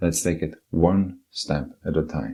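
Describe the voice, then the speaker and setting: A man with a non-native accent speaks at a very deep, low pitch, with a dark, mellow tone. His voice carries vocal fry and ordinary pitch variation. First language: not English. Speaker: podcast narrator, writer. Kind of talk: personal essay narration (podcast voiceover). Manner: unedited single-take reading.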